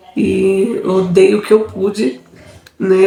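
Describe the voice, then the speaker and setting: Against noticeable background noise, a woman speaks at a medium pitch with fairly even intonation. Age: 30s. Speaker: vlogger. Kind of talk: personal testimony. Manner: casual, hesitant.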